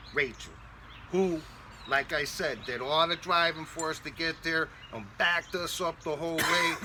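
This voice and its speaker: A man speaks at a moderate pace in a fairly high voice with ordinary pitch variation, over noticeable background noise. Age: 50s. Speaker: co-host. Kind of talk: casual chat.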